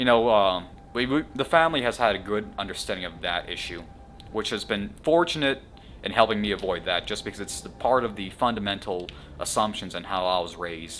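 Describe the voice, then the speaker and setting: With music in the background, a man with a fairly low pitch and an American accent speaks at a fairly quick pace with lively intonation. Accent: very American. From US South, Atlanta, Georgia. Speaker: podcast host. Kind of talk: casual chat.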